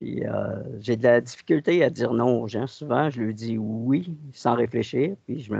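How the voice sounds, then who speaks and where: The speaker talks at a fairly slow pace with a Quebec accent, hardly pausing at all and using ordinary pitch variation. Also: man. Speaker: hypnosis client. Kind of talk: personal account. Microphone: connection dropouts.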